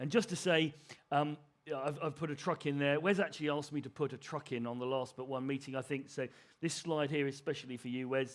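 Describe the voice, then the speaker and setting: Very fast speech from a man with an English accent, fairly high pitch, fairly even intonation. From England, Suffolk. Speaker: broadcast technologist. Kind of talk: conference presentation. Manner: halting.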